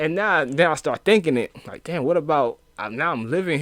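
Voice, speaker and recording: Lively intonation marks a man speaking with an American accent at a fairly quick pace. The sound is dry and close with no echo, on a very clean recording with a silent background. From New York City inner city. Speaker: podcast guest. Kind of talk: casual chat. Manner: halting, many repeated words.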